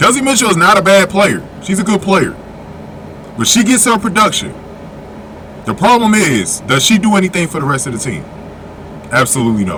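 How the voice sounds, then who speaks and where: Over noticeable background noise, a man speaks in a raised, projected voice at a high pitch with very wide pitch swings. His pace is fairly quick, broken by long, frequent pauses. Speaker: basketball commentary youtuber. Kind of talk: opinion commentary. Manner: loud.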